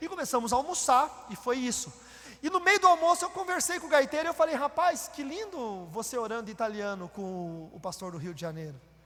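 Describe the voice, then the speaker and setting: A man's extremely high-pitched voice with very wide pitch swings, big swings in loudness and a fairly quick pace, plus noticeable background noise. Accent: Paraná. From Brazil, Paraná. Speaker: pastor. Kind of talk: sermon. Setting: church.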